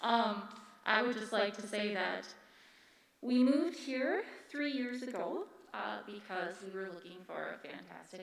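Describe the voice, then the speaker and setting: A woman with a nervous tone speaks at a moderate pace, with long, frequent pauses and big swings in loudness, over noticeable background noise and audible room echo. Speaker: parent speaking at public comment. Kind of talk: public comment at board meeting. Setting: public meeting with microphone. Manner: nervous, halting.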